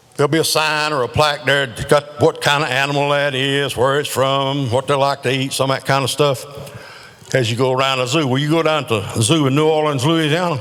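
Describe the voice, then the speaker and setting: With a Southern US accent, a man talks at a fairly quick pace and a fairly high pitch, his intonation fairly even against noticeable background noise. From North Carolina. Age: 70s. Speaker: amateur comedian. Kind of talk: stand-up. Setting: stage with audience.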